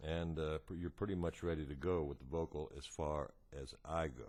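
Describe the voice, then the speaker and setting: A man speaks at a moderate pace with a very deep, low pitch and ordinary pitch variation. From United States. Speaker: singer-songwriter and guitarist. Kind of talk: tutorial. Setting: home living room.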